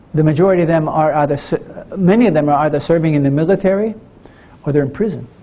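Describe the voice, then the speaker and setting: A man at a very fast pace with long, frequent pauses, ordinary pitch variation and very even loudness, over noticeable background noise. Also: fairly high pitch for a man. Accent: American. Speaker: Zen Buddhist monk and Vietnam combat veteran. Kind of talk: talk to an audience about healing and war experience. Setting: university lecture. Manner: direct, reflective, conversational.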